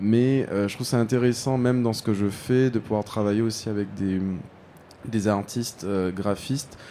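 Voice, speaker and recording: A man talks at a moderate pace in a fairly low pitch. He has an ordinary speaking voice with fairly even intonation. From Guadeloupe. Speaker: fashion designer and party founder. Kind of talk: interview. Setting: live studio at a trade fair.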